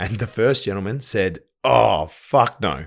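Speaking with an Australian accent is a man. The recording is very clean, with a silent background. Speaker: podcast co-host and new father. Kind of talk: casual chat.

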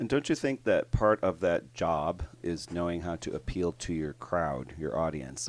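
This man's voice is very deep and low, with vocal fry and lively intonation, and he hardly pauses at all. The recording is very clean, with a silent background. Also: fairly slow pace. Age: 50s. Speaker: podcast co-host and line dance instructor. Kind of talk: casual chat.

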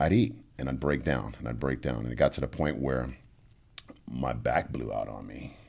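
A man with a New Orleans accent talks at a moderate pace in a very deep, low pitch, with vocal fry. His intonation stays fairly even, broken by long, frequent pauses. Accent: New Orleans Southern US. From US South, New Orleans. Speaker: life coach and former MMA fighter. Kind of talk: casual chat.

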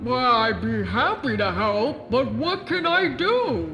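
A man's booming, put-on character voice over clear background noise. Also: fairly slow pace. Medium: audio drama.

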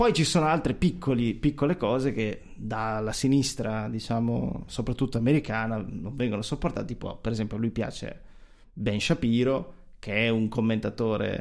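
In a very clean recording with a silent background, a man uses a normal speaking voice at a medium pitch, moderate pace and ordinary pitch variation. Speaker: podcast co-host. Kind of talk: casual chat. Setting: video recording.

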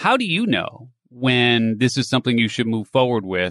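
An ordinary speaking voice, with ordinary pitch variation. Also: man. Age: 50s. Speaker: entrepreneur and reinvention coach. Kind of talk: interview.

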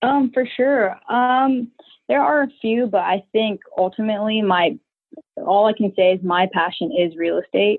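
A woman speaks in a plain, everyday voice at a fairly high pitch and a fairly slow pace. Her intonation is lively while her loudness stays very even. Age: 20s. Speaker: army veteran and short-term rental entrepreneur. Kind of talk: interview.

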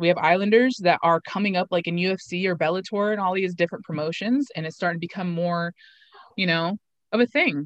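A woman with an American accent, medium pitch with ordinary variation, a fairly quick pace and a dry, close sound with no echo. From eastern Oregon, Umatilla Reservation. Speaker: pro MMA fighter and podcast host. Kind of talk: casual chat.

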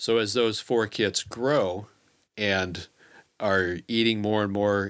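A man with an American accent speaks in an unremarkable speaking voice, fairly low in pitch. His intonation stays fairly even, and the recording is very clean with a silent background. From Kansas City, US Midwest. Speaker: trapper. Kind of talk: casual chat. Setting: studio.

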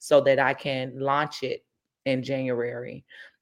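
In a very clean recording with a silent background, a woman with an American accent speaks at a very deep, low pitch. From Chicago, Englewood area. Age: 40s. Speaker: hair care business owner, trichologist. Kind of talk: interview.

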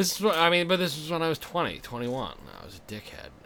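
A man with an American accent, some room echo audible around his voice. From Massachusetts. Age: 30s. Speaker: comedian. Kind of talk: casual chat.

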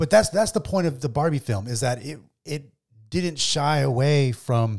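Lively intonation runs through this man's speech. His voice sits at medium pitch and is somewhat breathy. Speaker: podcast host. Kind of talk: casual banter podcast chat. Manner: casual, joking, profane.

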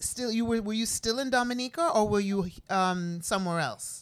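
A woman talks at a moderate pace and a medium pitch, with ordinary pitch variation. Hers is an unremarkable speaking voice. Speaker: podcast co-host. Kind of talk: casual conversation.

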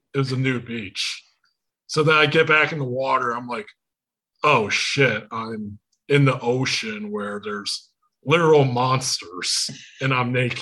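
A man with a Michigan accent speaks at a medium pitch and a fairly slow pace, with ordinary pitch variation, long and frequent pauses, and a bright, sharp tone. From Michigan, US. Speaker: podcast host. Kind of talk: casual chat. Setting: video call.

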